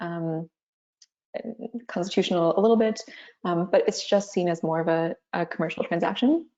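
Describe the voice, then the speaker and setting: A woman with a Canadian accent speaks at a moderate pace. Her pitch is fairly low, with ordinary variation. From Canada. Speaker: corporate legal counsel. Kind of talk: webinar panel discussion.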